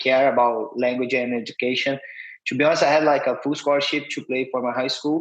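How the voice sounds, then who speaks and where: A man talks at a fairly quick pace in a fairly high pitch with a Brazilian accent. His intonation is monotone and flat. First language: Portuguese. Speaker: football player and coach. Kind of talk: interview.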